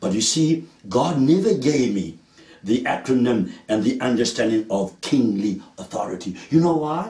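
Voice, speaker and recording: A man speaks with a dark, mellow tone and a medium pitch, somewhat breathy. His intonation is lively and his pace moderate. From South Africa, Cape Town (Woodstock). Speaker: preacher. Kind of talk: sermon.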